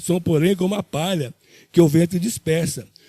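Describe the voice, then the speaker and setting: His tone is dark and mellow. The man's voice sits at a high pitch. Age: 60s. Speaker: church deacon preacher. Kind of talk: sermon. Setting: church. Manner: halting.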